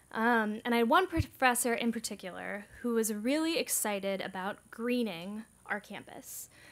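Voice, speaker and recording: A woman talks at a moderate pace with hardly any pauses. Her pitch varies in an ordinary way. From United States. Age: 20s. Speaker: climate activist organizer. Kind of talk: conference presentation. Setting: stage with audience. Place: meeting room.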